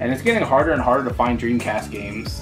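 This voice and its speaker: Clear music plays in the background. A man talks at a very fast pace. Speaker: reseller showing a haul. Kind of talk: casual vlog chat. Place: home room.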